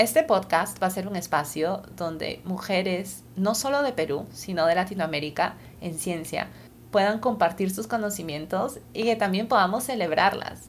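A woman with a Peruvian accent speaks at a moderate pace. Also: medium pitch for a woman, lively intonation. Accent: Peruvian Spanish (Lima). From Lima, Peru. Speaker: podcast host, scientist. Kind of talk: podcast monologue.

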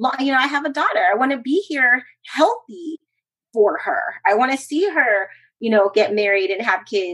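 Her high voice swings very widely in pitch as the woman speaks at a moderate pace. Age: 40s. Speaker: professional cheerleader and speaker. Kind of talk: interview.

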